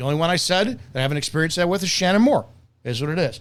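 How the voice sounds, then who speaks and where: A man talks loudly in an animated tone. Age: 50s. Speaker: martial arts instructor. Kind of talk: opinionated video commentary.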